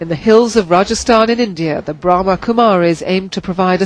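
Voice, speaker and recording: Moderate pacing and ordinary pitch variation in an unremarkable speaking voice. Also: woman. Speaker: TV news correspondent. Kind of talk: TV news report narration and interview questions.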